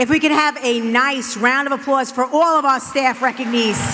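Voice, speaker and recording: Against crowd noise in the background, a woman projects a raised, high-pitched voice with fairly even intonation. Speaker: school administrator. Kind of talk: ceremony remarks. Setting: board meeting with audience. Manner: loud.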